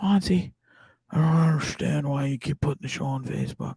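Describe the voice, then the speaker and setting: In a put-on character voice, someone speaks at a fairly quick pace with a low-to-middle pitch. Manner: upset, scolding.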